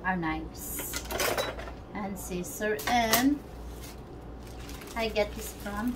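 Noticeable background noise sits under a woman who talks at a very slow pace. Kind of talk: casual tutorial chat. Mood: relaxed, laughing. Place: home room.

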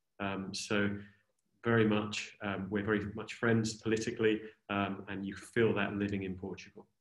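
A man with a British accent speaks in a fairly low pitch at a moderate pace, his intonation monotone and flat. The background is quiet, though some room echo is audible. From Britain. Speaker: tax adviser; presenter. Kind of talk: webinar presentation. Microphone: video call.

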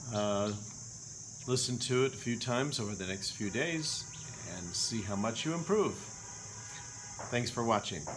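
Over noticeable background noise, a man with an American accent uses lively intonation and long, frequent pauses. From Milwaukee, Wisconsin. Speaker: English pronunciation teacher. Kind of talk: language lesson drill. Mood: friendly, smiling. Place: home room. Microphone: webcam.

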